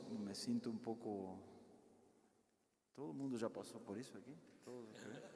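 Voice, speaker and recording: A man's medium-pitched voice, fairly even in intonation and fairly slow, with audible room echo. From Peru. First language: Spanish (speaking Portuguese). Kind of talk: talk to parish group. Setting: parish hall, in person and streamed.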